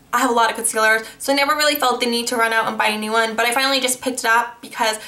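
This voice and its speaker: Her fairly high-pitched voice comes through audible room echo and noticeable background noise as the woman speaks. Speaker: beauty vlogger. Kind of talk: casual haul review. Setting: new apartment, filming to camera.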